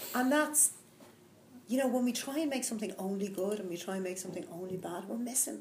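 In a Dublin accent, a woman speaks at a medium pitch with lively intonation, her voice carrying audible room echo. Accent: Dublin Irish. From Ireland, Dublin. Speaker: executive coach and mindfulness teacher. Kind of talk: casual interview. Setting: live recording.

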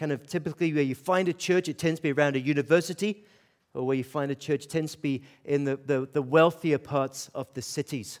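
A man with a Scottish accent speaks fairly quickly at a fairly high pitch, keeping to fairly even intonation. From Scotland, Aberdeen. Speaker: pastor. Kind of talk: sermon. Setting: church with audience.

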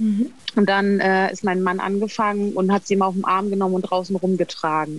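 At a fairly quick pace, a woman talks in an unremarkable speaking voice at a medium pitch. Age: 40s. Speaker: cat owner. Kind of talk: casual interview.

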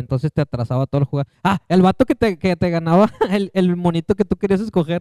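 Dry and close with no echo, the voice has a dark, mellow tone and moves at a fairly quick pace. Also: man. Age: 20s. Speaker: podcast co-host. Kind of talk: casual chat.

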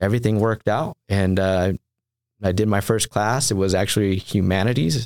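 This man speaks at a fairly quick pace in a fairly low voice with fairly even intonation, recorded very cleanly against a silent background with a dry, close sound and no echo. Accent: American. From Southern California. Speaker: Marine veteran and clinical social worker. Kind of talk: interview. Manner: halting, many fillers.

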